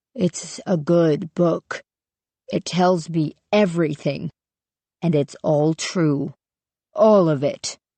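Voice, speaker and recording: A man does a put-on character voice, high-pitched and shaky, at a very slow pace with long, frequent pauses. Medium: read story. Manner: simple, repetitive.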